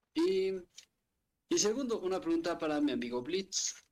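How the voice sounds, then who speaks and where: A man's high-pitched voice with very wide pitch swings at a fairly slow pace. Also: long, frequent pauses, very even loudness. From Mexico City. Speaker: occasional podcast co-host. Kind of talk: casual chat.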